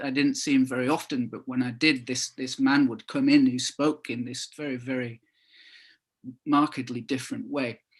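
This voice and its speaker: In a quiet background, a man with a slight northern English accent speaks at a moderate pace, his medium-pitched voice fairly even in intonation. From northern England (Calder Valley, Todmorden area). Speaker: author. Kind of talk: book launch talk. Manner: halting, many fillers and repetitions.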